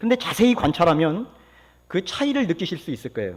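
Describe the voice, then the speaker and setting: Pitch swings very widely throughout. The recording is very clean, with a silent background. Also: man. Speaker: pastor. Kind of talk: sermon. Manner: fast.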